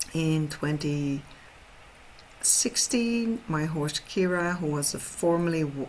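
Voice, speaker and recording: A woman speaks in a Dutch accent with a very deep, low pitch. Her intonation is lively. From Netherlands. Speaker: horse trainer. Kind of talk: webinar presentation. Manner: halting.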